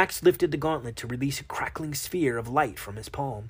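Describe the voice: What you hear is plain reading aloud.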